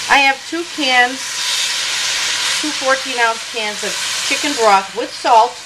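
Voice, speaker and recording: Through loud background noise, a woman speaks at a very slow pace with long, frequent pauses. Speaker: jazz singer. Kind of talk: cooking demonstration. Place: kitchen.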